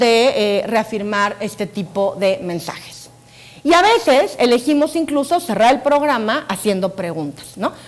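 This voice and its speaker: A woman speaks at a high pitch and a fairly slow pace. Her pitch swings very widely over noticeable background noise. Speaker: science communicator and TV scriptwriter. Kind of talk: conference talk.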